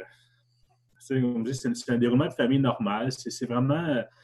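At a fairly slow pace, a man talks with a medium pitch and an ordinary speaking voice. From Quebec, Gatineau (Hull). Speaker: survivor of family tragedy, graduate student. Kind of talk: testimony.

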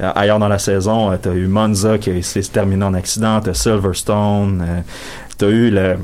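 A man with a fairly low pitch talks at a fairly slow pace with monotone, flat intonation and very even loudness. Noticeable background noise is present. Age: 20s. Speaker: sports columnist on panel. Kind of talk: casual panel chat.

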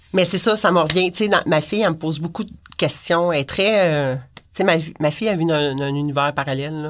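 A woman's very deep, low voice over noticeable background noise. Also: ordinary pitch variation, fairly quick pace. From Quebec, Montreal-Laval area. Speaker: punk culture writer and online community moderator. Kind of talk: casual interview.

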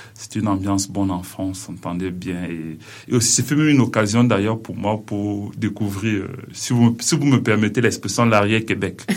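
The speaker is a man with a fairly low pitch. He goes at a moderate pace. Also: ordinary pitch variation. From Cameroon. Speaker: PhD student researcher. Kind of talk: radio interview. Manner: halting.

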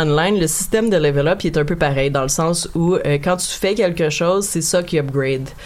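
A woman at a fairly low pitch, fairly quick with hardly any pauses, ordinary pitch variation, and noticeable background noise behind her. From Quebec, Montreal. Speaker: guest on a video game podcast. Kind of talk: casual chat.

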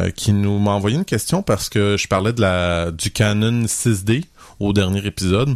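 On a very clean recording with a silent background and a dry, close sound with no echo, a man uses a normal speaking voice at a fairly low pitch, a fairly slow pace and ordinary pitch variation. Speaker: photography podcast co-host. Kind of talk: casual chat.

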